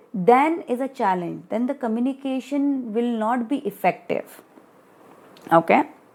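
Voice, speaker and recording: A woman speaks at a high pitch with an Indian accent. Her intonation is lively and her pace fairly slow. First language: Hindi. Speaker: study group tutor. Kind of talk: lecture. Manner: reading from study material with explanatory asides.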